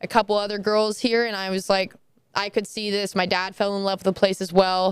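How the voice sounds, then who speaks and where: Her pace runs fairly quick. The woman's pitch sits at a medium level. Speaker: college softball player. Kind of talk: interview. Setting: team training facility. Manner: loud when passionate; animated.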